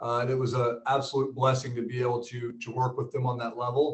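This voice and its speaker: A man with a somewhat breathy voice and medium pitch keeps a fairly quick pace. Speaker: business coach, former real estate team leader. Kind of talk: webinar presentation.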